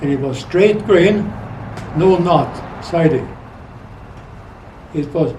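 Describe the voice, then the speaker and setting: A man with a Swedish accent speaks at a very slow pace in a high voice. Audible room echo and noticeable background noise fill the recording. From Sweden. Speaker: retired rancher and trapper. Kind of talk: interview storytelling. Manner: halting.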